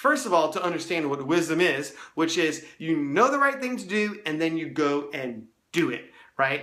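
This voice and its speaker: The voice has a bright, sharp tone and lively intonation at a moderate pace. Audible room echo surrounds it. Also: man, fairly high pitch for a man. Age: 30s. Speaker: youth ministry resource creator. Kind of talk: casual talk to camera. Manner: casual, conversational; occasional stumbles.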